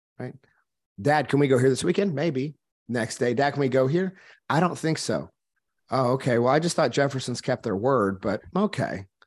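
Over a quiet background, a man at medium pitch speaks at a moderate pace with lively intonation and long, frequent pauses. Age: 30s. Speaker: entrepreneur and business coach, former minister. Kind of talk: casual chat.

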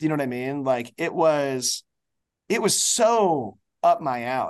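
Against a quiet background, a man speaks in an ordinary speaking voice, fairly high in pitch with lively intonation. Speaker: TV showrunner and writer. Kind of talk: casual interview.

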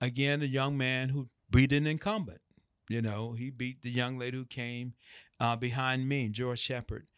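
The speaker is a man with a medium pitch. He keeps a moderate pace and fairly even intonation. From US South, Atlanta. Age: 50s. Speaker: former city council member. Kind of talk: podcast interview.

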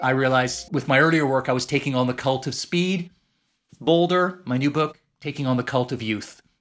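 A man talks rather briskly. There is music in the background. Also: medium pitch for a man, ordinary pitch variation. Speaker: author and former journalist. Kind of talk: casual interview chat. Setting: remote call from London.

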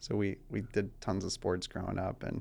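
A man with an American accent, fairly low pitch and vocal fry, with fairly even intonation at a moderate pace. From US South, rural Georgia. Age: young. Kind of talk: casual interview chat.

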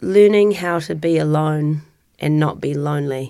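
A woman with a New Zealand accent has a very deep, low pitch and a dark, mellow tone. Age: 40s. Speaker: interviewee sharing personal story. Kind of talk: personal testimony.

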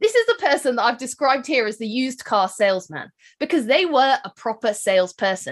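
A woman with a British accent, high in pitch, with very wide pitch swings at a fairly quick pace. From UK. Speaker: wedding business marketing expert and speaker. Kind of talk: keynote presentation and podcast intro.

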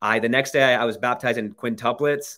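The voice belongs to a man at a medium pitch. Its rise and fall is ordinary. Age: 20s. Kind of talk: interview.

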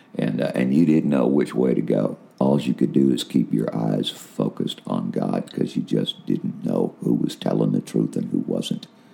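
A man talks at a moderate pace with hardly any pauses against noticeable background noise. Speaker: podcaster and intercessor. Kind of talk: testimony. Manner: casual, informal.

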